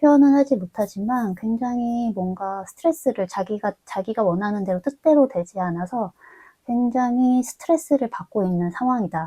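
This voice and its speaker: A woman's somewhat breathy, dark and mellow voice, fairly high in pitch, with lively intonation, a moderate pace, and a dry, close sound with no echo. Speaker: tarot reader. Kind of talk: tarot reading monologue. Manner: filler-heavy, hesitant ('어').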